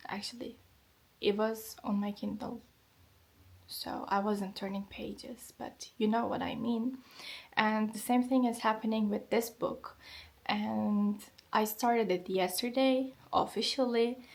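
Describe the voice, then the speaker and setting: The speech comes at a fairly slow pace, somewhat breathy and fairly even in intonation, with long, frequent pauses. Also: woman, fairly high pitch for a woman. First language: Turkish. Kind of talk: vlog narration.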